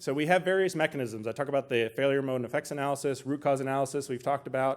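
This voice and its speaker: This man talks at a very fast pace with a fairly high pitch and fairly even intonation. The recording is very clean with a silent background. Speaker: anesthesiologist presenter. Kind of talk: conference talk.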